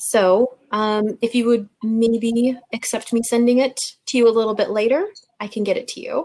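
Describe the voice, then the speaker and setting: A woman speaks with a dark, mellow tone at a very slow pace. Her intonation stays fairly even. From USA. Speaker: university international office staff. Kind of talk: webinar talk. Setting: video call. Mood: friendly, appreciative.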